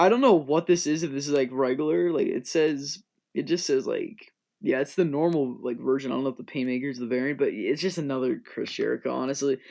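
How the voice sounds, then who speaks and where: Against a quiet background, a man talks at a very fast pace and fairly high pitch with ordinary pitch variation. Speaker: toy figure news youtuber. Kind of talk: unscripted commentary video. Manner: stutters often.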